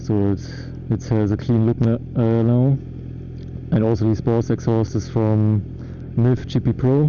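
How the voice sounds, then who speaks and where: A man with a German accent talks at a fairly slow pace and very even loudness, with long, frequent pauses. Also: medium pitch for a man, fairly even intonation. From Germany. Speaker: motorcycle vlogger. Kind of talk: casual vlog monologue while riding. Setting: riding a motorcycle outdoors. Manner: halting, many fillers.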